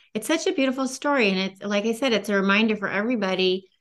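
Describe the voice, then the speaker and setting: A woman in a normal speaking voice, fairly high-pitched and fairly quick, with lively intonation against a quiet background. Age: 50s. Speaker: podcast host. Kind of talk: interview.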